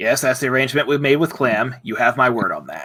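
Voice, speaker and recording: Putting on a character voice, a man talks at a very fast pace with a medium pitch. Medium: actual play. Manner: blunt, no-nonsense.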